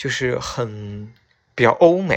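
This is a man speaking. His pitch is fairly high. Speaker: podcast host. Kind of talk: late-night solo radio-style monologue. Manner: casual, hesitant with many fillers.

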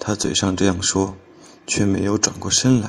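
A man with a dark, mellow tone speaks very slowly at a fairly low pitch, his intonation fairly even. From Henan, Xinxiang. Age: 20s. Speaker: storytelling contest entrant. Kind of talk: reading aloud.

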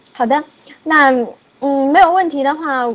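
This woman talks with ordinary pitch variation. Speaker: online class coordinator. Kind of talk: class wrap-up announcement. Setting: office, online class. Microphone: very quiet.

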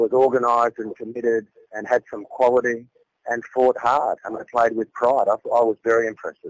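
A man with an Australian accent talks at a moderate pace and medium pitch. The sound is dry and close, with no echo. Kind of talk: phone interview. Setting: phone call.

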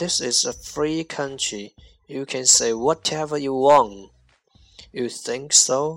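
With a Chinese accent, a man speaks at a very slow pace in a fairly high pitch with ordinary pitch variation. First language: Mandarin Chinese. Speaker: English teacher podcaster. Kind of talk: language lesson. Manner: slow, repetitive drilling.

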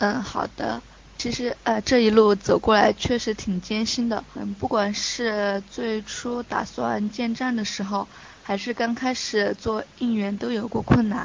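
A woman with a fairly high pitch speaks in a flat monotone at a fairly slow pace over noticeable background noise. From Chongqing, China. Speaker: fan club deputy leader. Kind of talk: casual interview. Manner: halting, many fillers.

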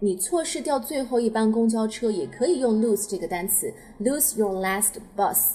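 The speaker talks at a fairly slow pace with a Chinese accent. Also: woman. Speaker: English teacher podcaster. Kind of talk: tutorial.

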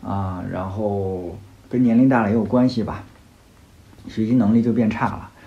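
Speaking at a moderate pace with ordinary pitch variation, a man's medium-pitched voice has a dark, mellow tone, with audible room echo around it. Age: 40s. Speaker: podcast host, rock climber. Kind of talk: solo podcast monologue, personal year review. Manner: casual, hesitant with many fillers.

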